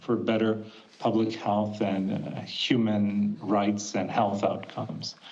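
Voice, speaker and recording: A man with a fairly low pitch speaks at a moderate pace amid audible room echo and noticeable background noise. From Portugal. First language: Portuguese. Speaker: physician and former politician. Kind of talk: formal opening statement. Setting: video call.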